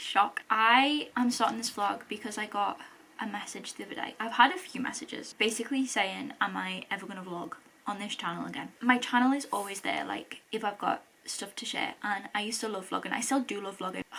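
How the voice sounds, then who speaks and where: Over noticeable background noise, a woman with a British accent speaks at a fairly quick pace and fairly high pitch, with ordinary pitch variation and big swings in loudness. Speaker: vlogger. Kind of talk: casual vlog chat to camera. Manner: fast; animated.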